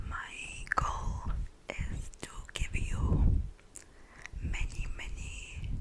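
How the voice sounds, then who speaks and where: Whispered speech comes very slowly, broken by long, frequent pauses. Background noise is noticeable throughout. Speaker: ASMR creator. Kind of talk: ASMR trigger words.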